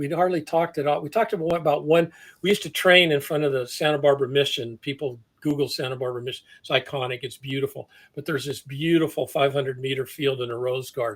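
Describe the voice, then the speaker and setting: The speech comes at a very fast pace and sounds somewhat breathy. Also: man, fairly high pitch for a man, ordinary pitch variation. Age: 70s. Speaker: athletic development coach. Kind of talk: interview. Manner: halting.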